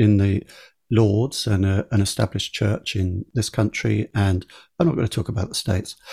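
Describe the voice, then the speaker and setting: The sound is dry and close with no echo, on a very clean recording with a silent background. A man with an English accent speaks somewhat breathily at a moderate pace and a fairly low pitch. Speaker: podcast host. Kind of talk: conversational interview.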